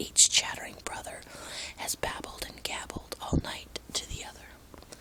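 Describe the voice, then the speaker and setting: A woman's fairly slow whispering over noticeable background noise. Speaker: ASMR whisper channel host. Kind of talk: bedtime story reading. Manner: whispered, soft-spoken.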